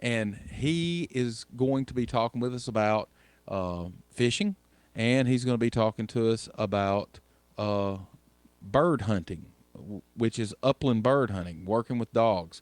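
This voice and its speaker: In a Southern US accent, the speaker moves at a fairly slow pace with ordinary pitch variation, the sound dry and close with no echo on a very clean recording with a silent background. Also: man, medium pitch for a man. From US South. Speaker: radio host. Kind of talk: radio show hosting.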